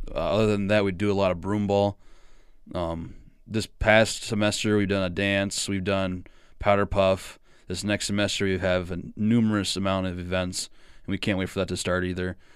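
A man with a Midwestern US accent speaks at a moderate pace in a fairly low, flat monotone, recorded very cleanly against a silent background. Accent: US Midwest. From small-town Iowa, US Midwest. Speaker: college student and sports announcer. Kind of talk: casual interview.

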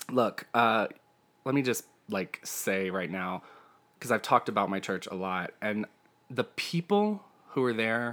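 A man's medium-pitched voice in an American accent, at a fairly slow pace with ordinary pitch variation and long, frequent pauses, in a very clean recording with a silent background. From US South. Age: 30s. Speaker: podcast host. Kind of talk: casual chat.

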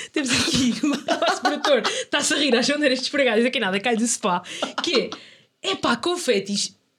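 A woman speaks at a moderate pace with a high pitch and lively intonation. Her loudness stays very even. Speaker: podcast co-host. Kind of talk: casual chat.

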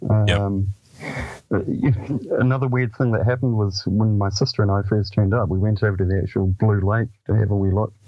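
A man's fairly low voice with a New Zealand accent, at a fairly quick pace, with very even loudness, fairly even intonation and noticeable background noise. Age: 50s. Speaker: author and paranormal researcher. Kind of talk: radio interview.

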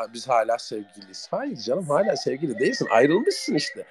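A man's voice with noticeable background noise. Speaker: internet radio host. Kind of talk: casual live chat with listeners. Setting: online audio chat room. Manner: halting at times.

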